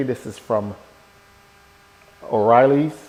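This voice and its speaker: Against noticeable background noise, a man talks with ordinary pitch variation. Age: 60s. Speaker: motorcycle vlogger. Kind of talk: casual vlog talk to camera. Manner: conversational with fillers.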